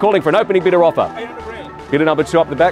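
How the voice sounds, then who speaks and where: Clear music sits behind a man's high voice, which has fairly even intonation and a dry sound with no echo. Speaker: auctioneer. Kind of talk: auction calling. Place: street.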